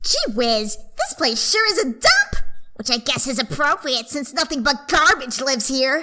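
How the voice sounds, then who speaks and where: In a put-on character voice, a female-sounding speaker uses a high pitch at a moderate pace. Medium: dub. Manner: sneering, hostile.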